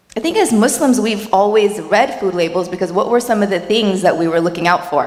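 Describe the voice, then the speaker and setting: The speaker has an American accent and a fairly quick pace. Loudness stays very even over noticeable background noise. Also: woman, medium pitch for a woman, ordinary pitch variation. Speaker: dietitian. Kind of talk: workshop talk.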